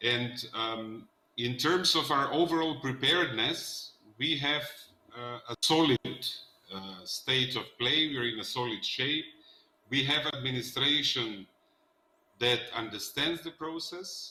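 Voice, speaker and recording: A man at a medium pitch, fairly slow, with long, frequent pauses and ordinary pitch variation. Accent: Macedonian. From North Macedonia. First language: Macedonian. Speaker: politician. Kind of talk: panel discussion.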